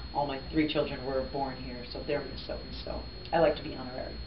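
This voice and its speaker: A woman rushes along at a very fast pace, with noticeable background noise and audible room echo in the recording. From New Jersey, US. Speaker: radio host. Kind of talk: interview.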